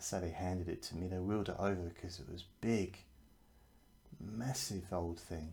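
A man's very deep, low voice, dark, mellow, soothing and gentle, somewhat breathy, with ordinary pitch variation. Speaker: hypnotherapist. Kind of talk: guided hypnosis session. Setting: video or podcast recording. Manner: slow, soothing, gentle and hypnotic; calm, reassuring, suggestive.

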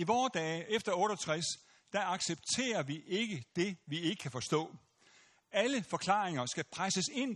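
Lively in intonation and high in pitch, a man speaks over a quiet background. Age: 70s. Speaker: pastor and lecturer. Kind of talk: lecture; audience Q&A. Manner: halting, many fillers.

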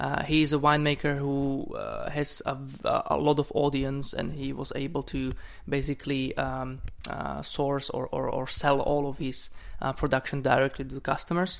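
Someone with a Slovak accent speaks at a moderate pace. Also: man. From Slovakia. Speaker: wine importer. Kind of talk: wine tasting chat. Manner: halting.

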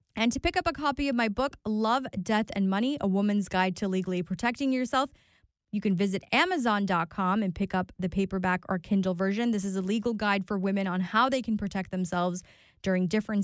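A woman in a normal speaking voice, medium in pitch, talks at a fairly quick pace with ordinary pitch variation and very even loudness, on a very clean recording with a silent background and a dry, close sound with no echo. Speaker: radio host and attorney. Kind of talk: radio ad pitch for her law practice, promotional. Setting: talk radio studio. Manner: brisk, upbeat, salesy, conversational; reassuring and personable, pitching her personal touch.

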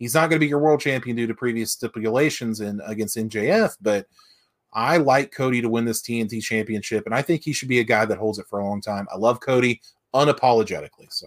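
With an American accent, a man talks at a very fast pace and medium pitch, recorded very cleanly against a silent background with dry, close sound and no echo. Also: ordinary pitch variation. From West Virginia. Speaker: wrestling podcast co-host. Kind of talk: casual chat.

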